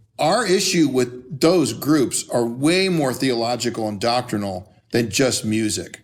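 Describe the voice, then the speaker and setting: A man speaks fairly slowly with lively intonation. Music runs in the background. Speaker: pastor and church musician. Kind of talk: casual chat.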